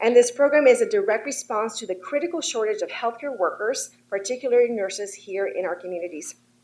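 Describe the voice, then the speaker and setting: A woman with a non-native accent talks very fast, her voice high with lively intonation. She has hardly any pauses and big swings in loudness. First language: not English. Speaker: state legislator. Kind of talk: formal address to a board. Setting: board of trustees meeting. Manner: formal.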